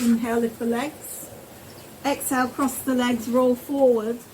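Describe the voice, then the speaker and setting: Noticeable background noise behind a woman's high-pitched voice, calm in tone, with fairly even intonation and a moderate pace. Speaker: yoga teacher. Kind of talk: guided yoga class. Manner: instructional, calm.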